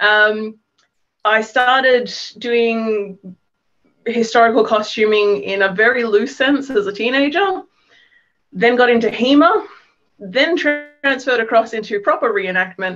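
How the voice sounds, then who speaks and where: Pausing long and often, a woman with an Australian accent talks at a fairly slow pace and a fairly high pitch, with ordinary pitch variation. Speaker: historical reenactor. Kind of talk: panel introduction.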